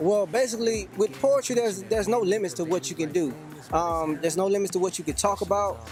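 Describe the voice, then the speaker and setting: A man with an American accent at a high pitch and very fast pace, with ordinary pitch variation and very even loudness over music in the background. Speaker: spoken word poet; army veteran. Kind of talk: interview answer. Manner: casual, friendly.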